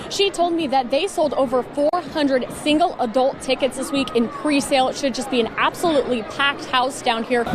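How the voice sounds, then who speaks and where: Against noticeable background noise, a woman talks at a fairly quick pace in a high pitch. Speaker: sports broadcaster. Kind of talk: live sports reporting.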